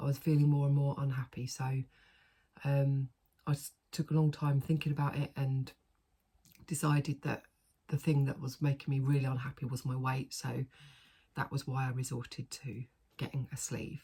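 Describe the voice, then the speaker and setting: With long, frequent pauses, a woman speaks in a very deep, low pitch with a dark, mellow tone, a somewhat breathy quality and monotone, flat intonation. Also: moderate pace. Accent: British. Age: 40s. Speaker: vlogger. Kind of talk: casual chat. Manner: chatty, with many fillers.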